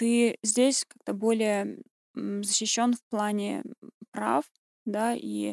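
This woman's voice comes through with a dry, close sound and no echo. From Russia, Southern Urals (Kurgan). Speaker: linguist and designer. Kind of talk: casual interview.

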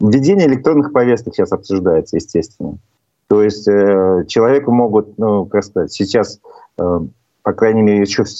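A man at a fairly low pitch and a moderate pace, with ordinary pitch variation. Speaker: talk show host. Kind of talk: interview. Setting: video call.

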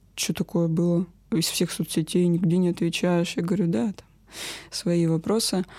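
On a very clean recording with a silent background, a woman's fairly low, dark and mellow voice moves with ordinary pitch variation. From northern Russia, rural village. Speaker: guest sharing personal abuse story. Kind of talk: personal testimony.

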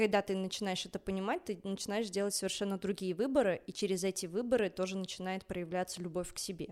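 Speaking very fast with hardly any pauses, a woman keeps a medium pitch and fairly even intonation in a very clean recording with a silent background. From Belarus, Minsk. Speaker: ballet dancer. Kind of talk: casual chat.

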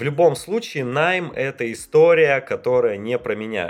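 A fairly high-pitched man at a moderate pace, recorded very cleanly with a silent background. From Russia, Perm region. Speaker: info-business producer. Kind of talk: casual chat. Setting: studio.

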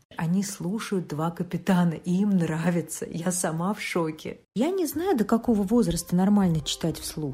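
A dark, mellow tone comes through in a voice that is somewhat breathy. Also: woman. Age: 40s. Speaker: mother of two teenage boys. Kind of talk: recorded listener testimony.

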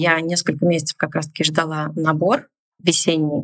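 A woman with a plain, everyday voice speaks at a fairly low pitch. Her intonation is fairly even, and the sound is dry and close with no echo. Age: 30s. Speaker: business founder. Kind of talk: casual chat.

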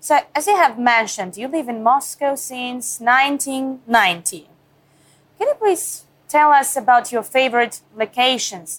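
With a Russian accent, a woman talks at a fairly slow pace. Her high pitch carries lively intonation. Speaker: TV correspondent. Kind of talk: interview.

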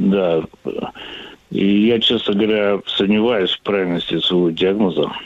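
The delivery comes at a fairly slow pace in an unremarkable speaking voice. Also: man, fairly low pitch for a man, fairly even intonation. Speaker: caller. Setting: phone call.

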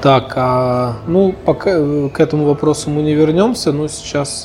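A man with a fairly high pitch talks at a fairly slow pace. Noticeable background noise is present. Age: 30s. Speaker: podcast host. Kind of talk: interview conversation. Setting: cafe.

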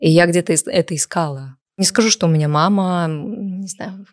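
An unremarkable speaking voice from a woman at fairly low pitch, on a very clean recording with a silent background and a dry, close sound with no echo. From Sochi, southern Russia. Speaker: cosmetologist and blogger. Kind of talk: casual chat.

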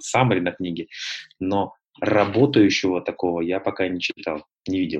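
This man's very deep, low pitch carries fairly even intonation. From North Caucasus (Nalchik), then Moscow from age 14. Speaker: publisher and triathlon coach. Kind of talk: interview.

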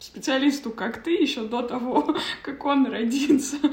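A woman's high-pitched voice with lively intonation at a very slow pace, amid audible room echo and noticeable background noise. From Kazakhstan. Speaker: podcast host. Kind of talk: interview. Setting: video call.

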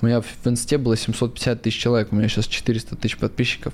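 This man's pitch sits in the medium range. The tone of his voice is dark and mellow. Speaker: crypto investor and blogger. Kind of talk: casual interview.

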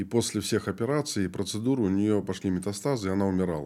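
A man talks in a dark, mellow tone at a fairly low pitch. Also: very clean recording, silent background. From Moldova. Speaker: pastor. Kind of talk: interview.

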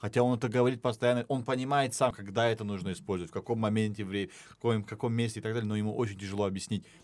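Very fast speech with hardly any pauses and ordinary pitch variation, on a very clean recording with a silent background. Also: man. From Dagestan, Russia. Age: 20s. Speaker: podcast team member. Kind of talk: casual chat.

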